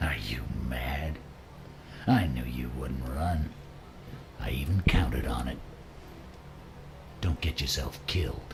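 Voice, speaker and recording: Putting on a character voice, a man speaks at a very deep, low pitch and a fairly slow pace. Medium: machinima.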